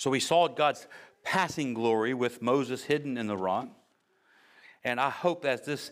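In a very clean recording with a silent background, a plain, everyday voice with an American accent talks at a moderate pace with ordinary pitch variation. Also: man. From United States. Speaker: pastor. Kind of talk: sermon.

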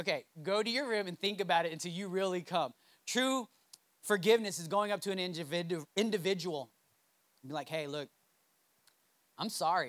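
With an animated tone and a high pitch, a man speaks with ordinary pitch variation and long, frequent pauses. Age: 30s. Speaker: pastor. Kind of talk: sermon.

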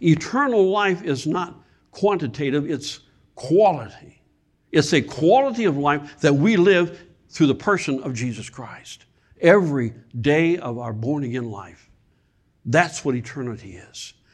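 A plain, everyday voice from a man with an American accent, fairly high in pitch, with lively intonation, big swings in loudness and a fairly slow pace over a quiet background. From Michigan. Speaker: guest preacher. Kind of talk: sermon. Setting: church.

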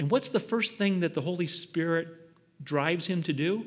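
Delivery is animated, with lively intonation. It moves at a moderate pace. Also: man. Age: 60s. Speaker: pastor. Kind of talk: sermon.

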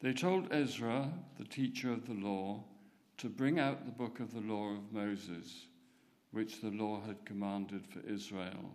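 With a plain, everyday voice, a man speaks at a fairly low pitch and a fairly slow pace. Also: ordinary pitch variation. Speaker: scripture reader. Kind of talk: reading aloud. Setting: church.

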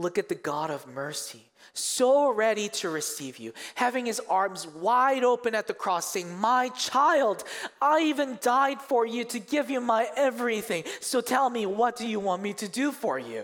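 A man speaks at an extremely high pitch with lively intonation and a moderate pace. Noticeable background noise runs underneath. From South Korea, moved to Canada in middle school. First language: Korean. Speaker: youth pastor. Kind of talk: sermon. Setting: church stage with congregation.

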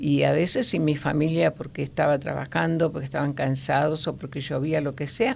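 A woman with a Rioplatense accent at a moderate pace. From Argentina, La Pampa then Buenos Aires. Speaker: grandmother sharing faith story. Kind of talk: testimony. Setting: studio.

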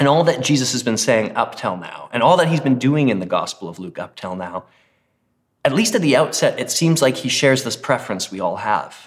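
A man talks at a fairly quick pace in an animated tone, his fairly high pitch making very wide swings. His loudness shifts in big swings, and vocal fry creeps in. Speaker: pastor. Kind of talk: sermon. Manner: animated, humorous.

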